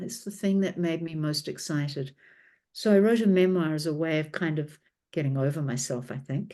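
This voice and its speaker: A woman with a New Zealand accent, a dark, mellow tone and a fairly quick pace over a quiet background. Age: 60s. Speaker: author and documentary filmmaker. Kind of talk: interview.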